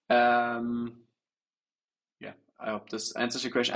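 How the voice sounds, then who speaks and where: A man with a German accent at a moderate pace. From Germany. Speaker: trader. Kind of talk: livestream Q&A. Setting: livestream. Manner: halting, many fillers.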